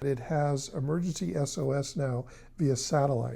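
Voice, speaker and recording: Somewhat breathy and dark, mellow in tone, a man's voice sits at a fairly high pitch. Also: very clean recording, silent background. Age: 70s. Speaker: tech reviewer. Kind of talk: tutorial. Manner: casual.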